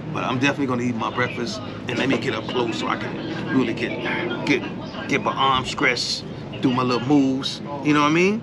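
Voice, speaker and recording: A man talks at a medium speed while loud noise fills the background. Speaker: food vlogger. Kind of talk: casual vlog chat. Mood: relaxed, cheerful. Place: street. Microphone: phone near.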